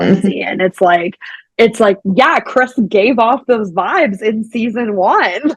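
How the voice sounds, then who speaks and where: With an American accent, a woman talks at a very slow pace in a fairly high pitch, her pitch varying in an ordinary way. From Pittsburgh, Pennsylvania. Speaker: podcast host. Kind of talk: casual podcast conversation.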